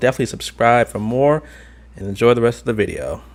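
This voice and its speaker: Noticeable background noise is present. Through it, a man speaks very fast. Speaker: travel vlogger. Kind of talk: video tour narration. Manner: casual, filler-heavy.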